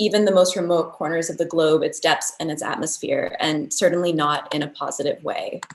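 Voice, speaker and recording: Here is an ordinary speaking voice with an American accent. The pace is moderate. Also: woman. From United States. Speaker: architecture researcher. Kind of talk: lecture.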